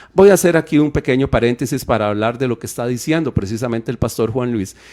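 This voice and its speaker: Speaking very fast, a man talks with an English accent. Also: medium pitch for a man, ordinary pitch variation. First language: English (speaking Spanish). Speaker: radio Bible teacher. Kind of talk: radio Bible teaching talk. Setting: live radio studio broadcast.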